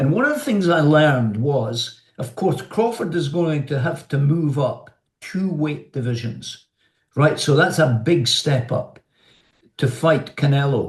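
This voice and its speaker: A man with a Scottish accent speaks at a fairly slow pace. His voice is somewhat breathy and fairly high, with ordinary pitch variation. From Scotland. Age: 70s. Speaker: journalist, television presenter, former amateur boxer. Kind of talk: interview answer.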